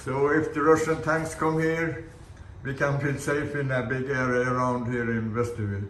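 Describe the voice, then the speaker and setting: A man with a Swedish accent speaks in a fairly high voice at a moderate pace, with fairly even intonation. Noticeable background noise and audible room echo fill the recording. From Sweden. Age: 80s+. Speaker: sailor and boat builder. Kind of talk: casual video blog. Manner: halting.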